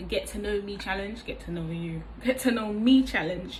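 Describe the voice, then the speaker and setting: Audible room echo and noticeable background noise around a woman speaking. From East London, England. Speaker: vlogger, hairdresser. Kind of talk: casual vlog monologue. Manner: hesitant with frequent fillers.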